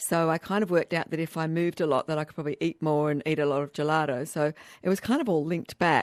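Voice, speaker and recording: Spoken at a very fast pace with an Australian accent and fairly even intonation, the voice sounds dry and close with no echo on a very clean recording with a silent background. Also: woman. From Australia, Canberra. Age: 60s. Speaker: hiking event founder. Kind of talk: radio interview.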